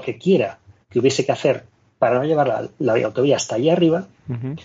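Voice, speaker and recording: The man's fairly high voice comes out somewhat breathy, and his pitch moves in an ordinary way. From Andalusia, Spain. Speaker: radio motoring show contributor. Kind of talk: radio opinion chat. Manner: animated.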